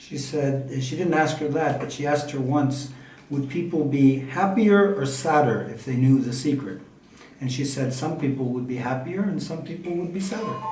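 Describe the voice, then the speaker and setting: Noticeable background noise sits behind this man's voice. He talks at a fairly slow pace with a fairly high pitch. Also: ordinary pitch variation. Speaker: interpreter. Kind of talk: interview translation.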